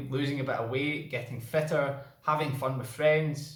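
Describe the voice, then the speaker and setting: The speaker has a Scottish accent and a moderate pace. Noticeable background noise runs underneath. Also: man. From Scotland. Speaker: cycling vlogger. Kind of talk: casual vlog talk.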